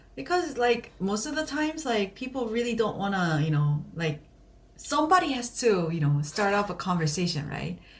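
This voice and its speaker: In a Korean accent, a woman speaks at a medium pitch and a moderate pace. Her pitch swings very widely. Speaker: podcast co-host. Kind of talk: casual chat.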